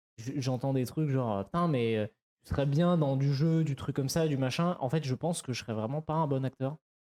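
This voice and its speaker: Medium in pitch, this man's voice shows ordinary pitch variation. Its tone is dark and mellow. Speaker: streamer. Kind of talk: casual chat. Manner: fast; halting.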